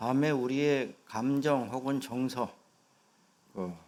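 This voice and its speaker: This man speaks at a very slow pace with a fairly high pitch. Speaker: senior pastor. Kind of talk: sermon. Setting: church.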